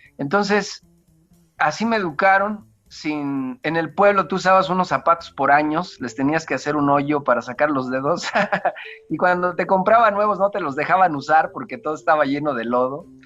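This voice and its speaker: With a central Mexican accent, a man speaks at a moderate pace in a fairly high pitch, his tone bright and sharp and his pitch variation ordinary. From central Mexico, rural State of Mexico. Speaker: church deacon. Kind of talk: interview, personal life story. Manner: halting, with many fillers and restarts.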